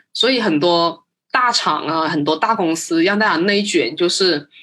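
A woman speaks with a non-native accent. Her pitch is fairly low. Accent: non-native Mandarin. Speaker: marketing professional. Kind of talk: casual interview chat. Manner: fast.

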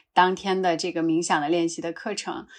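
With a quiet background, a woman speaks at a moderate pace in an ordinary speaking voice. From northwest China, Qinghai-Tibet Plateau. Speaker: yoga teacher. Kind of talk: casual conversation.

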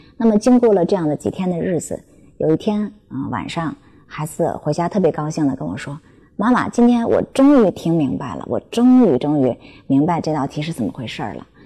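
Talking at a fairly quick pace, a woman with a very deep, low pitch and a dark, mellow tone uses vocal fry, very wide pitch swings and big swings in loudness. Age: 40s. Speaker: parenting educator. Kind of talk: talk to parents. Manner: hesitant fillers.

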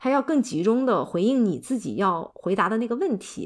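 A woman speaks in an ordinary speaking voice with a fairly high pitch and lively intonation. The recording is very clean, with a silent background. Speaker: podcast co-host, humanities PhD. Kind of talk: casual chat.

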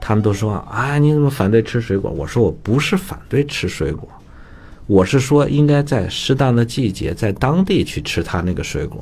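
This man's voice is somewhat breathy and medium in pitch, moving at a moderate pace with very wide pitch swings. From northern China (Datong, Shanxi). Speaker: traditional Chinese medicine teacher. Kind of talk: casual educational radio talk. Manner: animated, many fillers and laughs.

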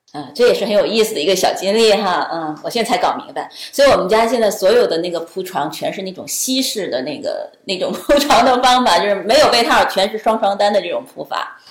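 The speaker moves at a fairly quick pace with lively intonation and big swings in loudness. Noticeable background noise is present. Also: woman, fairly high pitch for a woman, hardly any pauses. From China. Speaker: accompanying parent of an international student. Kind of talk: casual interview. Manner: hesitant, many fillers.

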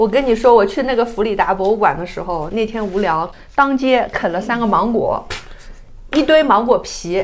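Speaking at a moderate pace, a woman uses an ordinary speaking voice with a fairly high pitch and lively intonation. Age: middle-aged. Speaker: traveler. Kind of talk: casual chat.

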